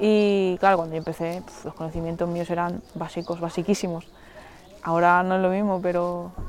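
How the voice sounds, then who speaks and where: A woman's fairly low, flat, monotone voice over background music. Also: moderate pace, big swings in loudness. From Mallorca, Spain. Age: 20s. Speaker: Olympic wrestler. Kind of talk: casual interview. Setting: outdoors in a forest.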